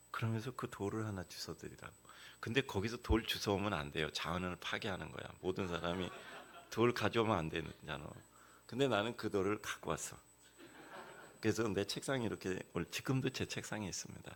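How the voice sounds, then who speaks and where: His pitch is fairly low with ordinary variation, and this man talks at a fairly quick pace. Long pauses come frequently. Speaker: guest preacher. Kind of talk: sermon. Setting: church. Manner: conversational storytelling with fillers.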